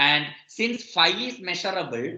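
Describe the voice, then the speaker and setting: A man at a fairly slow pace with a bright, sharp tone. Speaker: mathematics professor. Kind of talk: lecture.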